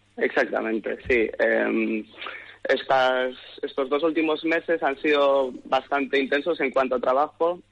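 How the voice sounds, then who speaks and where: A man at a fairly slow pace with very even loudness, amid noticeable background noise. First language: English (speaking Spanish). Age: 20s. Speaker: hairdresser and stylist. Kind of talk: interview.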